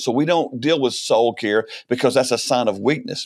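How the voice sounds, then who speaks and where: A man with an American accent and an unremarkable speaking voice talks at a fairly quick pace in a medium pitch with ordinary pitch variation. The recording is very clean, with a silent background. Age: 60s. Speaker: ministry leader, former pastor. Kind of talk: podcast interview. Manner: conversational with frequent repetitions.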